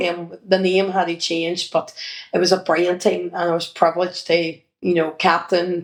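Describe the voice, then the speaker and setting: A woman's fairly low, monotone and flat voice in a Northern Irish accent. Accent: Derry Northern Irish. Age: 50s. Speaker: children's entertainer and former sports coach. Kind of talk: interview reminiscence.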